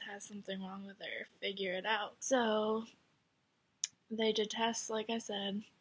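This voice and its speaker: A woman's fairly high voice in a flat monotone. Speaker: vlogger. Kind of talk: personal testimony. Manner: casual and rambling.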